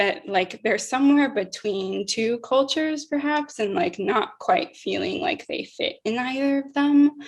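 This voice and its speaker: A woman with an American accent speaks fairly slowly in a high voice with very wide pitch swings over noticeable background noise. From Utah. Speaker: conference moderator. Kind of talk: panel interview.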